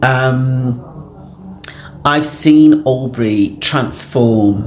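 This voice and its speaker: Recorded with noticeable background noise and audible room echo, a woman talks in a very deep, low voice with lively intonation. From England, Afro-Caribbean community. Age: 60s. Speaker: community elder. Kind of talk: interview. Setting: community centre, on location. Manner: hesitant, many fillers.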